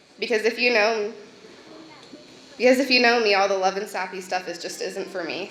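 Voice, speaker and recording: Over noticeable background noise and audible room echo, a woman speaks at a fairly quick pace with fairly even intonation. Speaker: maid of honor giving wedding toast. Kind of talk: wedding toast. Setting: wedding reception. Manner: loud.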